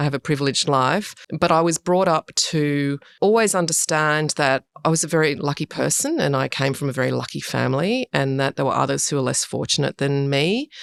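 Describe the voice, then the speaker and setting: A woman with an Australian accent speaks at a fairly quick pace in a very deep, low pitch, with ordinary pitch variation and very even loudness. The sound is dry and close, with no echo. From Sydney, Australia. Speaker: urban design director. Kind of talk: interview.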